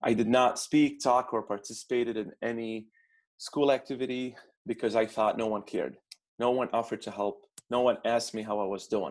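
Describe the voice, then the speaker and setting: In a very clean recording with a silent background, a man with an Arabic accent talks at a fairly quick pace, at a medium pitch with fairly even intonation. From Baghdad, Iraq. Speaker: immigrant student consultant. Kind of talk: interview conversation.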